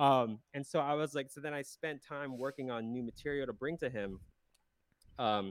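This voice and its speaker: A man with a normal speaking voice, medium pitch and lively intonation, with an American accent. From South Central Pennsylvania, US. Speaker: emo pop punk musician. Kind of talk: casual interview chat.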